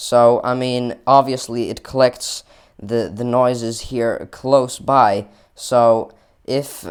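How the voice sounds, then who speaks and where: The recording is very clean, with a silent background. A man speaks in a monotone, flat intonation. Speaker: tech reviewer YouTuber. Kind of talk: product review and mic test. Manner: halting, self-correcting.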